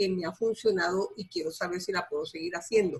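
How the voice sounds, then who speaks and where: A woman talks at a very fast pace. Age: 70s. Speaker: participant. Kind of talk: testimony.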